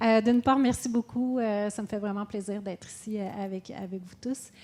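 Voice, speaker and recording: In a Quebec accent, a woman speaks at a fairly slow pace with fairly even intonation. Her voice sits at medium pitch with a dark, mellow tone. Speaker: businesswoman, panelist. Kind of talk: panel talk. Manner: hesitant, many fillers.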